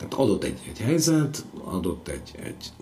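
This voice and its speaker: A man speaks with lively intonation, surrounded by noticeable background noise and audible room echo. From southern Slovakia, Hungarian minority. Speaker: stage and film actor. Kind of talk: interview. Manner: halting, repetitive.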